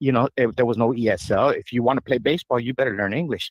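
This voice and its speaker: A man talks at a very fast pace. He has a Spanish accent. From Yuma, Arizona. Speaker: caller. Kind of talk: radio call-in. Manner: halting.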